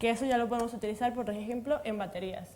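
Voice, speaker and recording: A woman with a Mexican accent speaks at a fairly high pitch in a dark, mellow tone. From Mexico. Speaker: materials science researcher. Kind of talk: panel discussion.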